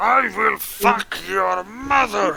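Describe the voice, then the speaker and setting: In a put-on character voice, a man speaks with a high pitch. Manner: menacing, crude.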